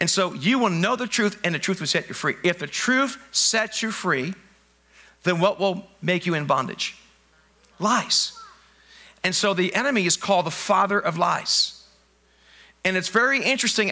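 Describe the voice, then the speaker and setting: A man speaks in a raised, projected voice at a moderate pace. He leaves long, frequent pauses. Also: ordinary pitch variation. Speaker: pastor. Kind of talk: sermon. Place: church. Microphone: headset.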